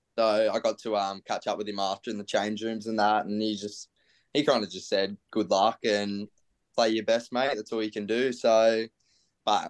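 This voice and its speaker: A man with an Australian accent, fairly low-pitched and monotone at a moderate pace, in a dry, close sound with no echo and a quiet background. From Australia, Central Coast NSW. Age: 20s. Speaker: professional footballer. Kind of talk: casual interview.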